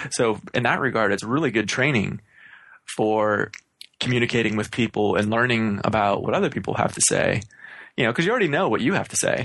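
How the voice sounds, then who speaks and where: A man with an unremarkable speaking voice talks at a fairly quick pace and medium pitch, with ordinary pitch variation and very even loudness. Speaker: podcast host. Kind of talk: casual chat. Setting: remote recording.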